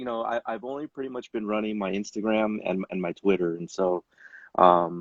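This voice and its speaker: A man with a fairly low pitch and ordinary pitch variation speaks in an ordinary speaking voice. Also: moderate pace. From Chicago, then Southern California. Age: 40s. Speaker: sneaker collector and YouTuber. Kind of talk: casual interview chat.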